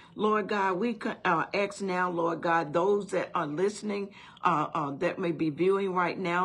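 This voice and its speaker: A woman at a fairly slow pace, her intonation fairly even. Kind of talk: prayer. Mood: earnest, reverent. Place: home room. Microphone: phone near.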